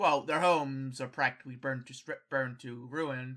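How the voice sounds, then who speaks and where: A man's put-on character voice at medium pitch and a moderate pace, on a very clean recording with a silent background. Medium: actual play. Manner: blunt, brusque.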